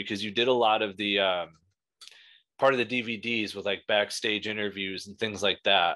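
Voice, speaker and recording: Over a quiet background, a man talks at a moderate pace with ordinary pitch variation in a normal speaking voice. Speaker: podcast host. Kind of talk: interviewer questions.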